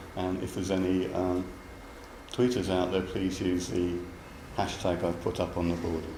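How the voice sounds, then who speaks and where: A man with a very deep, low voice speaks at a moderate pace in a monotone with flat intonation, leaving long, frequent pauses. Noticeable background noise and audible room echo are present. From London, England. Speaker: university lecturer, program director. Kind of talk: academic seminar talk. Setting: seminar room with live audience. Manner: hesitant, with fillers and repetitions.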